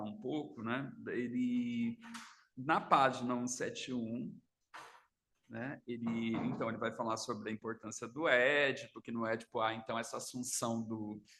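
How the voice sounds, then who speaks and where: Soft-spoken and bright, sharp in tone, a man speaks at a medium pitch and a fairly slow pace with fairly even intonation. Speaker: psychoanalyst. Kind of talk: seminar lecture. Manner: halting. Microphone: too quiet, mic needs to be moved closer.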